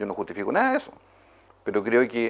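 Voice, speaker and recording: Here is a man speaking. He has a Chilean accent. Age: 60s. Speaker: politician. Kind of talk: interview.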